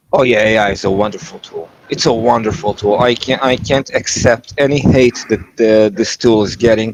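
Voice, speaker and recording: With a non-native accent, a man speaks with ordinary pitch variation and hardly any pauses. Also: medium pitch for a man, moderate pace. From Israel. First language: not English. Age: 30s. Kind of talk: casual chat. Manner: halting.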